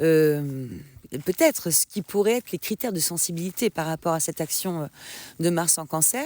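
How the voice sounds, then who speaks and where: With a dark, mellow tone and a fairly low pitch, a woman speaks at a moderate pace with ordinary pitch variation, recorded very cleanly against a silent background in a dry, close sound with no echo. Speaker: astrologer podcaster. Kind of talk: casual podcast monologue on astrology. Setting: outdoors in a forest. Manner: hesitant, many fillers.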